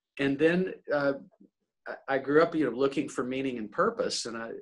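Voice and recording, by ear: A man's medium-pitched voice with an American accent and lively intonation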